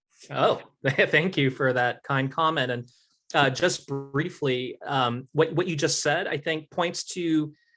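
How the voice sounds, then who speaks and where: A man with an American accent and a normal speaking voice, fairly high in pitch with ordinary pitch variation, at a fairly slow pace, in a very clean recording over a silent background. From Utah, Salt Lake City. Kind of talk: Q&A after a lecture.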